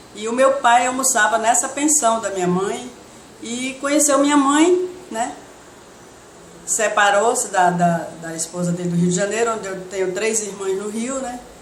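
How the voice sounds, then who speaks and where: Background noise is noticeable, along with some audible room echo. The speech moves at a moderate pace with ordinary pitch variation. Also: woman. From Brazil, Porto Velho, Rondônia. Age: 60s. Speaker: interviewee sharing life story. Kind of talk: oral history testimony.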